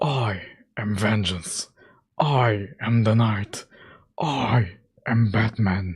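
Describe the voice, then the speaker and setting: A gravelly, put-on character voice speaks very slowly with ordinary pitch variation. Long pauses come often. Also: man, medium pitch for a man. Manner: intense, menacing.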